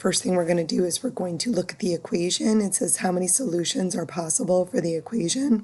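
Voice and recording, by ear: A woman talks at a very fast clip in a put-on character voice, barely pausing at all. Her medium-pitched voice is hoarse and raspy.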